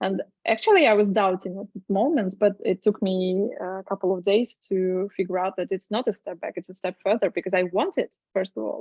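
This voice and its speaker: The woman's intonation stays fairly even at a medium pitch. She talks at a fairly quick pace. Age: 30s. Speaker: web design agency founder. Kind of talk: casual interview. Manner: halting, many fillers.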